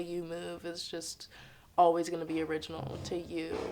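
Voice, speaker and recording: Fairly slow and fairly low in pitch, a woman speaks with an American accent. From Harlem, New York, US. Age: 20s. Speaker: dancer and choreographer. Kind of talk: interview monologue. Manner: casual with frequent fillers.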